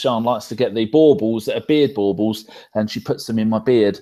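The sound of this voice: Man's fairly low pitch with a dark, mellow tone, ordinary pitch variation and a moderate pace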